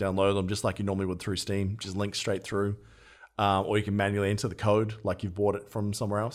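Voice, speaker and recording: A man's fairly low voice comes through a very clean recording against a silent background. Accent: Australian. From Australia. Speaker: podcast host. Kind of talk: casual chat.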